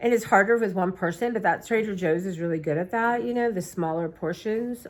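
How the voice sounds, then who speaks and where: On a very clean recording with a silent background, a woman of medium pitch talks at a fairly quick pace with lively intonation. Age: 50s. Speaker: vlogger. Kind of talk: casual chat. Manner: fast.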